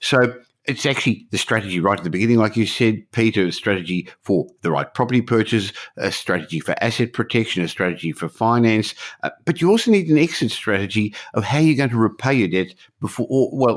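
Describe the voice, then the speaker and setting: Lively intonation and a fairly quick pace mark this man's fairly low voice, which carries an Australian accent. The recording is very clean, with a silent background. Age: 60s. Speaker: podcast host, property investor. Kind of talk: podcast interview.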